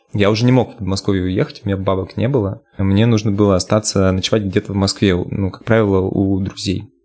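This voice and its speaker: This man has an unremarkable speaking voice, fairly low in pitch. He speaks at a moderate pace with ordinary pitch variation. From Russia, Yamalo-Nenets region (Nadym). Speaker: bass player and singer. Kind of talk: casual interview.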